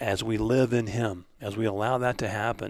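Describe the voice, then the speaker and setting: In a very clean recording with a silent background, a man speaks at a moderate pace and medium pitch with ordinary pitch variation, in an unremarkable speaking voice. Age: 60s. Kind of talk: casual religious discussion. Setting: home basement recording.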